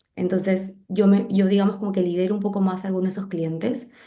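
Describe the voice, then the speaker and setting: Her pace is very fast and her intonation monotone and flat, with a dark, mellow tone at a medium pitch. The woman's voice carries audible room echo. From Peru. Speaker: graphic designer. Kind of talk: interview conversation.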